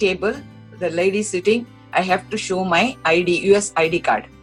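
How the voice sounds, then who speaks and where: A woman at a medium pitch and moderate pace, with ordinary pitch variation and music in the background. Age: old. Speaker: yoga and shloka teacher. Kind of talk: interview answer.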